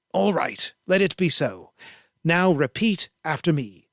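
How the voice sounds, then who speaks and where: A man puts on a growling character voice at a high pitch, talking fairly slowly with lively intonation. The sound is dry and close, with no echo. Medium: read story. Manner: growling, implacable.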